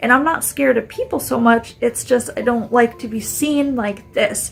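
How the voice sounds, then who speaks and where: A woman talks at a moderate pace with a high pitch and ordinary pitch variation while music plays in the background. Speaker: chronic illness video diarist. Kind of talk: casual video diary vent. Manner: casual, halting with fillers.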